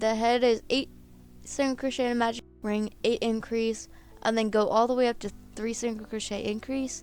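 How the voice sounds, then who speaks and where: Over music in the background, a woman with a fairly high pitch speaks at a moderate pace in monotone, flat intonation. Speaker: crochet tutorial creator. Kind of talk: tutorial. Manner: casual.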